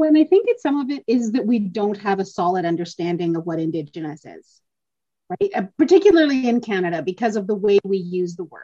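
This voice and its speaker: This woman's voice is somewhat breathy, with a dark, mellow tone and medium pitch, moving at a fairly quick pace. Her loudness swings widely and her pitch swings very widely. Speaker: podcast host. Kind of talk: casual conversation. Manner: animated, frequent fillers.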